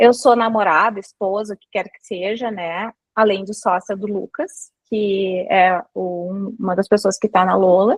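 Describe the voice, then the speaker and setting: This voice belongs to a woman. It rests at a medium pitch. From southern Brazil, Santa Maria (Rio Grande do Sul). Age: 40s. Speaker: brand manager and lecturer. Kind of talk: lecture.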